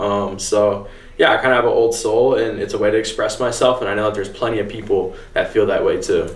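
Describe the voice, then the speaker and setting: A man talking at a very fast clip over noticeable background noise. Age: 20s. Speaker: vintage clothing store owner. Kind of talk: interview answer.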